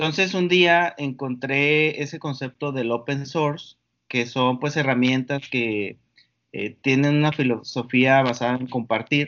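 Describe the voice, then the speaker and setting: Fairly even intonation at a fairly slow pace. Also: man, fairly high pitch for a man. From northern Mexico, Valle de Mexicali, Baja California. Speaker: entrepreneur and computer engineer. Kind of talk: interview conversation. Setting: Skype call. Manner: halting, many fillers and repetitions.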